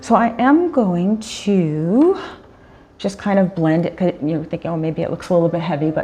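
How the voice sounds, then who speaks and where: Over music in the background, a woman with a medium pitch talks at a moderate pace in an upbeat tone with lively intonation. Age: 50s. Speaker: makeup artist and photographer. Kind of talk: makeup tutorial talk to camera. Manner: casual, chatty, upbeat.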